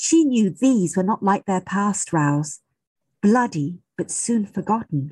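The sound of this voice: An unforced reading voice with lively intonation and a quiet background.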